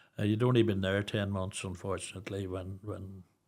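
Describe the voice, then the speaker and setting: With a Northern Irish accent, a man talks fairly quickly in a flat monotone at a fairly low pitch. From Northern Ireland, Newry. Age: 60s. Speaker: charity founder, bereaved father. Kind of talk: podcast interview.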